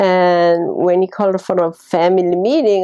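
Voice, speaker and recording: Dark, mellow tone from a woman of medium pitch with a Korean accent, at a fairly slow pace. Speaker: retired nurse, parent. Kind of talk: interview testimony.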